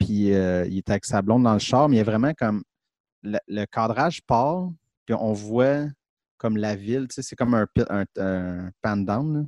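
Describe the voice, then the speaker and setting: Against a quiet background, a man with a Quebec accent speaks at a fairly low pitch and a fairly slow pace, with ordinary pitch variation, long, frequent pauses, and a dry, close sound with no echo. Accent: Québécois French. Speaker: film podcast co-host. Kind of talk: casual chat.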